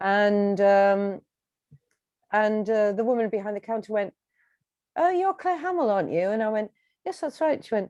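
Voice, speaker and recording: Dark, mellow tone with lively intonation, moderate pace and long, frequent pauses, in a dry, close sound with no echo and a quiet background. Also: woman, fairly high pitch for a woman. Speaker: singer-songwriter. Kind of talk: interview. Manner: halting.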